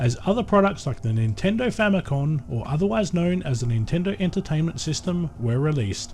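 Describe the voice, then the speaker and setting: A man with an Australian accent, a fairly high pitch, very wide pitch swings and a fairly quick pace. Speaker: YouTube creator. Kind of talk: scripted narration. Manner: formal.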